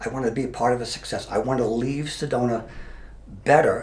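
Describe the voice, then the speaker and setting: Somewhat breathy, a man talks at a moderate pace, with audible room echo around his voice. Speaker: mayor and retired police officer. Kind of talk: interview. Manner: halting.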